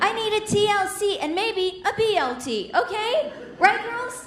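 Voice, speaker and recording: A woman speaks with very wide pitch swings against noticeable background noise. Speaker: stand-up comedian. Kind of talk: stand-up comedy set.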